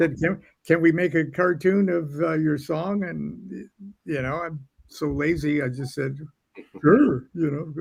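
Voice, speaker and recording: Somewhat breathy and fairly high-pitched, a man with a General American accent speaks at a fairly slow pace with ordinary pitch variation. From Southern California. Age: 70s. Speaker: occult author and singer-songwriter. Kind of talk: interview.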